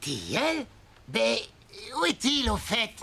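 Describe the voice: Someone puts on a cartoonish character voice at a fairly high pitch. The delivery is very slow.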